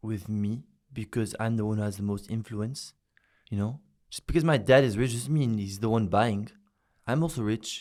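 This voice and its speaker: A man with a French accent at a medium pitch and moderate pace, with long, frequent pauses on a very clean recording with a silent background. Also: ordinary pitch variation. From France, Paris. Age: young. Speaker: social media influencer. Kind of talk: interview.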